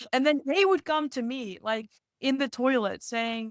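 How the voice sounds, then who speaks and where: Speaking with a non-native accent at a moderate pace, a woman shows ordinary pitch variation in a very clean recording with a silent background and a dry, close sound with no echo. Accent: non-native accent, noticeable. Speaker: speaker coach. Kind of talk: podcast interview. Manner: animated.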